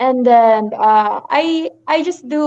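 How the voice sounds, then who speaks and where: The voice belongs to a woman and is pitched high. The intonation is fairly even. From Philippines, Manila. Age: 20s. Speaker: model and actress. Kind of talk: casual interview. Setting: live stream. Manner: halting, many fillers.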